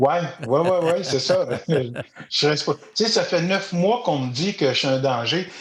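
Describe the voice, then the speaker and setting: With long, frequent pauses, a man speaks fairly slowly at a high pitch, his intonation lively. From Quebec, Eastern Townships (Magog). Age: 60s. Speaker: storyteller and educator. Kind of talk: podcast interview. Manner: hesitant, many fillers.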